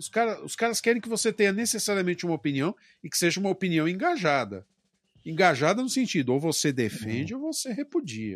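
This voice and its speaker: The speech is very fast, with very wide pitch swings and big swings in loudness. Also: man, high pitch for a man. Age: 40s. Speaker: podcast co-host. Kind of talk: casual chat.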